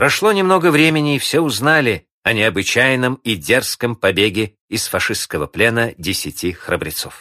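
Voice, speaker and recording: In a solemn, dramatic tone that is also bright and sharp, a man speaks at a moderate pace with hardly any pauses, very wide pitch swings and vocal fry, on a very clean recording with a silent background and a dry, close sound with no echo. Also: medium pitch for a man. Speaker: narrator. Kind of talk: historical documentary narration, scripted and read aloud. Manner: measured, solemn, dramatic; steady, formal, clearly paced storytelling.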